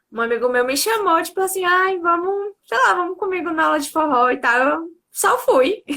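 A woman projects her raised voice at an extremely high pitch, in a bright, sharp tone. Her pitch swings very widely at a moderate pace. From interior of Bahia, Brazil. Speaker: dance teacher. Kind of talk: casual interview.

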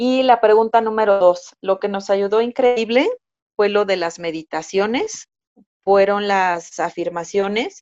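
This woman speaks with a Mexico City accent at a fairly slow pace. Her pitch varies in an ordinary way. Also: medium pitch for a woman. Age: 30s. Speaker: first-time mother telling birth story. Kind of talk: personal testimony in interview.

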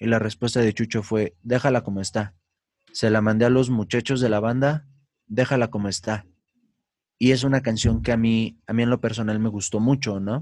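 In a Mexican accent, a man speaks at a medium pitch with fairly even intonation on a very clean recording with a silent background. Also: moderate pace. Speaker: musician, band leader. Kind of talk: casual chat.

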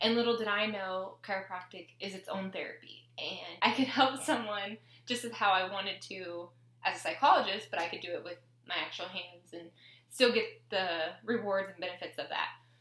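A woman talks at a fairly quick pace with medium pitch and ordinary pitch variation. Her loudness swings widely. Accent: American. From US Pacific Northwest (Tacoma, Washington). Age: 20s. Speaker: podcast host, chiropractic student. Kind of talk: casual chat.

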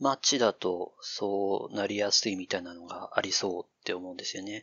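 A man speaking at a moderate pace. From Chichibu, Saitama (until mid elementary school). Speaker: AI dialogue systems researcher with linguistics background. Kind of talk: casual chat.

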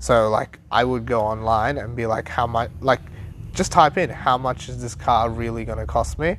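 A man talks at a moderate pace with lively intonation. His voice carries vocal fry. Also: medium pitch for a man. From Sri Lankan heritage. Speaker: podcast co-host, personal trainer. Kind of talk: casual chat.

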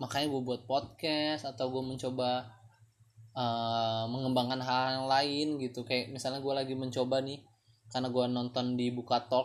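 The speaker is a man with a medium-pitched voice. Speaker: solo podcast host. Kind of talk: casual monologue. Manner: halting.

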